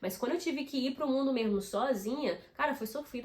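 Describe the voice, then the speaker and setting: Amid noticeable background noise, a woman talks at a very fast pace in an animated tone with lively intonation. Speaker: YouTuber. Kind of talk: casual vlog tips.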